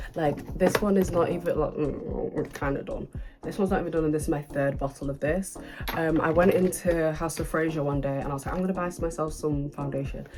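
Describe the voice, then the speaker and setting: A woman with a very deep, low pitch and a British accent, at a very fast pace, with music in the background. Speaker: beauty vlogger. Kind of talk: casual chat. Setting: home, filming at night under lights. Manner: animated.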